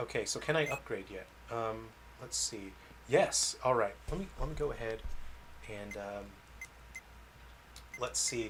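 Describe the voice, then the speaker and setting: Speaking at a fairly slow pace with long, frequent pauses, a man talks with an American accent. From California, US. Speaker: game developer streamer. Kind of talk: casual livestream gameplay chat. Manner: casual, hesitant with fillers.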